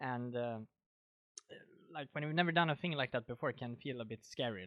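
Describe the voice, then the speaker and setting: A man with a Swedish accent talks fairly quickly at medium pitch, with ordinary pitch variation. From Sweden. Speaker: podcast host. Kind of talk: casual chat.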